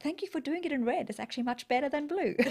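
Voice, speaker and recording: A woman with a South African accent speaks with lively intonation over a quiet background. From South Africa, Natal. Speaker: corporate business leader and entrepreneur; interview guest. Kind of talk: interview. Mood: warm, reflective. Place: studio. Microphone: studio mic.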